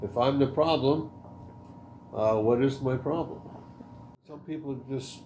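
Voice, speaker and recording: A man with a medium pitch speaks in a dark, mellow, somewhat breathy tone with ordinary pitch variation. The room echo is audible. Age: 60s. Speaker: podcast guest. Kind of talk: casual chat.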